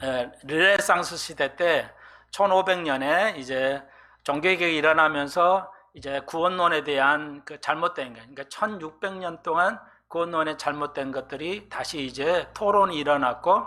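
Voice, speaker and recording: His bright, sharp tone and fairly high pitch come at a fairly slow pace, as this man shows ordinary pitch variation and big swings in loudness. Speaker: pastor. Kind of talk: sermon. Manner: hesitant, many fillers.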